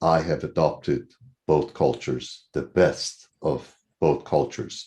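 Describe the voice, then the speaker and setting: A man talks at a fairly slow pace in a very deep, low voice with a dark, mellow tone and vocal fry. The background is quiet. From Iran. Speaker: TV co-host. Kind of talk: panel interview. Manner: halting.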